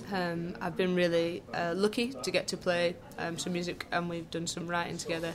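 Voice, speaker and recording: A woman speaks with a Lancashire accent at a fairly low pitch. Her pace is fairly quick and her intonation fairly even. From Lancashire, northern England. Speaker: jazz saxophonist and composer. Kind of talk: casual interview. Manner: hesitant, many fillers.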